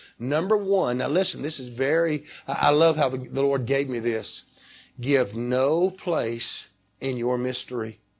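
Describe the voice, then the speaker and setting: A man with a Southern US accent speaks at a medium pitch and a fairly slow pace, with ordinary pitch variation. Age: 60s. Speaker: pastor. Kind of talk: sermon.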